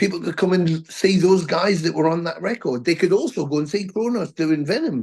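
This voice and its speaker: The speaker has a Geordie accent and lively intonation. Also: man. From northern England, Newcastle. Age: 60s. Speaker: metal band frontman. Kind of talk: interview.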